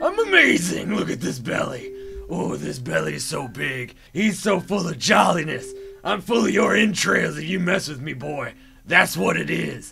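Clear music sounds in the background behind a cartoonish character voice. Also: man. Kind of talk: comedy rant. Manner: rambling, stream of consciousness.

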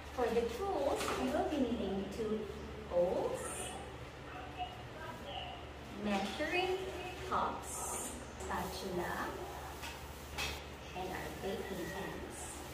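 A woman speaks at a very slow pace with long, frequent pauses, over loud background noise and with audible room echo. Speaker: presenter. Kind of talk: tutorial. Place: kitchen. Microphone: camera far.

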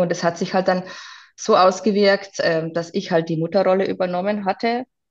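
Monotone and flat, a woman's fairly low voice barely moves in intonation. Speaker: interview guest sharing life story. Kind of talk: personal testimony.

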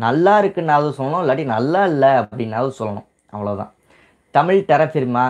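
This man's fairly high voice carries lively intonation. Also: quiet background. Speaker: YouTube tips channel host. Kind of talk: live stream Q&A. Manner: casual, colloquial. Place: home room. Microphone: lapel.

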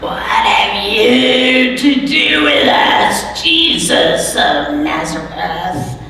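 In a put-on character voice that sounds female, the speaker goes at a very slow pace, with strong echo and light background noise. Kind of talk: sermon. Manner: yelling.

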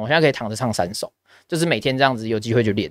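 Against a quiet background, a man talks at a very fast pace with lively intonation, the sound dry with no echo. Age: 20s. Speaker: esports caster and podcast host; podcast host. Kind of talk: casual chat. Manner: supported diaphragm voice, steady. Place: studio. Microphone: studio mic.

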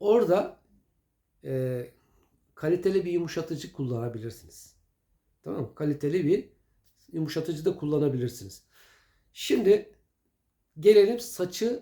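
A man's fairly high, dark and mellow voice, fairly slow, with very wide pitch swings and long, frequent pauses. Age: old. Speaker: home remedy video maker. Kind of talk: casual tutorial. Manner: conversational, hesitant fillers.

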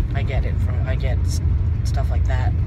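A man talks at a fairly quick pace over loud background noise. The sound is dry with no echo. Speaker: vlogger. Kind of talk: casual vlog chat. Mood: relaxed, reflective. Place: car. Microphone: phone near.

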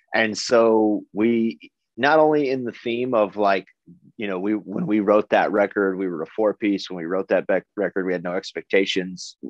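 Against a quiet background, a man with an American accent uses an ordinary speaking voice, fairly low in pitch with ordinary pitch variation, at a moderate pace. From United States. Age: 30s. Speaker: metal band vocalist; interviewee. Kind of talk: interview. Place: home room. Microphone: video call.

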